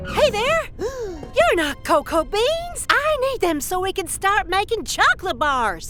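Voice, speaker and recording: A cartoonish character voice at an extremely high pitch speaks in a cheerful tone at a fairly slow pace with hardly any pauses, while clear music plays in the background. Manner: cheerful, friendly.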